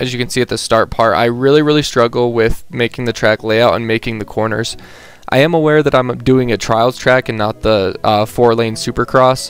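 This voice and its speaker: A man's medium-pitched voice at a moderate pace with fairly even intonation over noticeable background noise. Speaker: gamer. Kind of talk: gameplay commentary. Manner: casual, hesitant.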